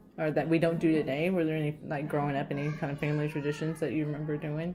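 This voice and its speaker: A woman speaks at a very fast pace in a very deep, low pitch. Her intonation is monotone and flat, with noticeable background noise behind her. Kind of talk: casual interview questions.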